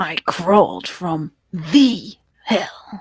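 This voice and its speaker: A woman's growling, put-on character voice at medium pitch, with lively intonation. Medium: actual play. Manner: menacing.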